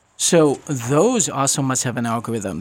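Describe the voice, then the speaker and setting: A man with a fairly high pitch speaks in a normal speaking voice. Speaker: radio host. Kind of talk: casual chat. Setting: studio.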